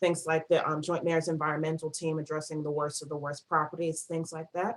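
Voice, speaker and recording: Monotone and flat, a woman with a northern US accent talks at a fairly quick pace in a very deep, low pitch. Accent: northern US (Yankee). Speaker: nonprofit project coordinator. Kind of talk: presentation. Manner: fast.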